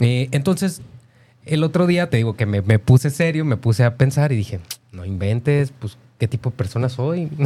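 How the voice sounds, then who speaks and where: At a moderate pace, the voice comes across somewhat breathy, with a dark, mellow tone and lively intonation. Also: man, medium pitch for a man. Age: 30s. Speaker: radio co-host. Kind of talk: casual chat.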